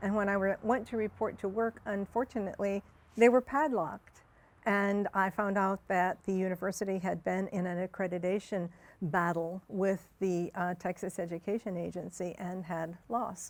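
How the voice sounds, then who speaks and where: Here is a woman with an ordinary speaking voice, a medium pitch and an American accent. She talks at a moderate pace on a very clean recording with a silent background. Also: fairly even intonation. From Michigan. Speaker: anthropologist, community organizer. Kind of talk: oral history interview.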